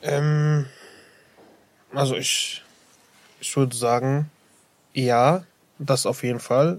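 Pausing long and often, a man speaks at a very slow pace with a fairly high pitch and fairly even intonation. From Iraq. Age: 18. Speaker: dental assistant trainee. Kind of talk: interview. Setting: studio. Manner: hesitant, many fillers.

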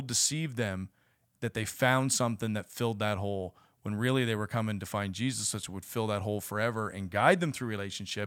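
In a plain, everyday voice, a man speaks at a fairly quick pace and medium pitch on a very clean recording with a silent background. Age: 40s. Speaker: church ministry podcast host. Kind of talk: casual faith interview.

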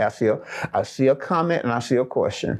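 Over a quiet background, a man speaks in a Southern US accent with a fairly high pitch. His tone is animated, his intonation lively, and his pace moderate. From US South, Alabama. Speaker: pastor. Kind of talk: sermon.

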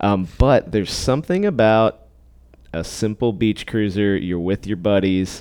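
In a normal speaking voice, a man speaks at a fairly low pitch with ordinary pitch variation, on a very clean recording with a silent background. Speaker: cycling podcast host and bike service technician. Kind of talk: casual chat. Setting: bike shop, recording in studio.

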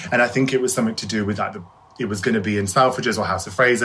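A man with an English Midlands accent speaks at a medium pitch in a bright, sharp tone. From Shropshire, England. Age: 20s. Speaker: hairdresser. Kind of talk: interview. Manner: fast.

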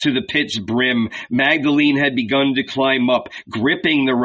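The voice is plain reading aloud. Its intonation stays fairly even.

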